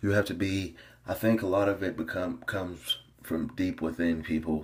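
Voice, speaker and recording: At a moderate pace, a man with an American accent speaks in a very deep, low pitch that is somewhat breathy. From US South, small-town Tennessee. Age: 20s. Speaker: fitness coach and bodybuilder. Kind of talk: casual vlog monologue.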